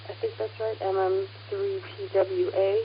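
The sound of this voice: A woman speaks at a fairly slow pace with little pitch movement. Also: medium pitch for a woman.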